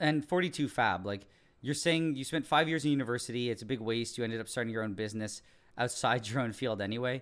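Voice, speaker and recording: In a very clean recording with a silent background, a man with a Montreal accent talks at a very fast pace and medium pitch. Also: ordinary pitch variation. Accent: English Canadian (Montreal). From Quebec, English-speaking Montreal. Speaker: science YouTuber. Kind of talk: live stream Q&A, casual chat. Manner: casual, many fillers and restarts.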